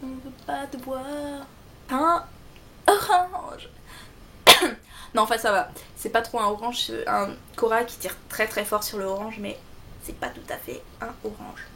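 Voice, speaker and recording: In a Belgian accent, a woman speaks with lively intonation in a high pitch. She goes at a fairly slow pace. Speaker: beauty vlogger. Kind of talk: product review tutorial.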